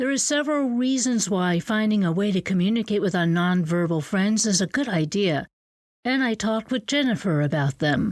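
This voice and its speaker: In a Northeast US accent, a woman at medium pitch talks at a moderate pace with lively intonation and very even loudness, on a very clean recording with a silent background. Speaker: podcast host and teacher. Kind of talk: scripted narration.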